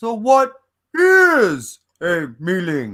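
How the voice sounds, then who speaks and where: The pitch here is a middle one. It is a put-on character voice. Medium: read story. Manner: casual, blunt.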